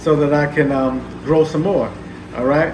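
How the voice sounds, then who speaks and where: Speaking with fairly even intonation, the voice carries audible room echo over noticeable background noise. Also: man. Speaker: aquarium hobbyist YouTuber. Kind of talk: casual video update / tank walkthrough. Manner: many fillers and hesitations.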